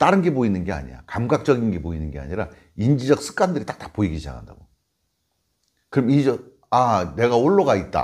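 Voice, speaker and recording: A man speaks at a very fast pace yet with long, frequent pauses, medium in pitch, with very wide pitch swings, big swings in loudness and vocal fry. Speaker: Buddhist monk teaching meditation. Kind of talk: informal dharma talk. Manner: conversational, explanatory.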